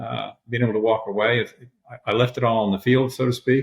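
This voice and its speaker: A man with an American accent uses a normal speaking voice at medium pitch, talking at a fairly quick pace with fairly even intonation. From Michigan. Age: 60s. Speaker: retired high school strength coach. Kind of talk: podcast interview.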